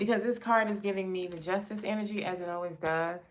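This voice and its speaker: A woman at a moderate pace with fairly even intonation and audible room echo. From New York, Brooklyn. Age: 40s. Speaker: tarot reader. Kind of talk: live stream tarot reading, casual chat. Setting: live stream. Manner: casual, chatty.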